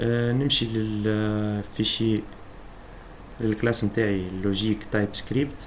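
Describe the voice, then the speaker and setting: In a Tunisian accent, a man speaks very slowly at a fairly low pitch. His intonation is flat and monotone. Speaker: programming instructor. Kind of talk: screen-recorded coding tutorial.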